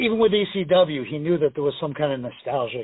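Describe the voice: Fast and fairly high-pitched, this man's voice has a slightly husky edge.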